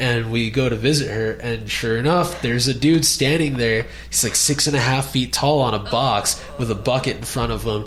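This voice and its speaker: Audible room echo and noticeable background noise surround the recording. A man talks at a medium pitch and moderate pace, with ordinary pitch variation. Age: 20s. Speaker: podcast host. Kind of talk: casual interview.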